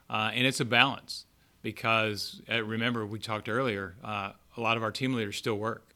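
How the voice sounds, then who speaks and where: On a very clean recording with a silent background, a man with a Southern US accent speaks at a moderate pace in a medium pitch, his bright, sharp tone held in a monotone, flat intonation. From US South, born Texas, raised Arkansas. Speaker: retail chain operations director. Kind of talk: casual interview.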